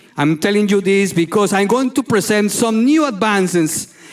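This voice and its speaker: A man with a Spanish accent speaks in a high pitch with lively intonation. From Colombia. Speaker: neurologist. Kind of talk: lecture. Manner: halting.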